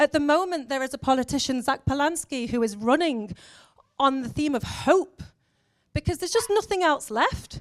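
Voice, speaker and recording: The woman's voice is high in pitch, with lively intonation and an animated tone. She speaks at a moderate pace. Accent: English. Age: 40s. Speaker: education officer and former teacher. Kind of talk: conference talk.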